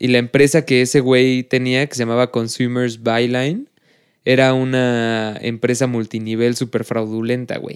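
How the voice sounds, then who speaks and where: The intonation here is monotone and flat. The delivery is fairly slow. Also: man, medium pitch for a man. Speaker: podcast co-host. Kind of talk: casual chat.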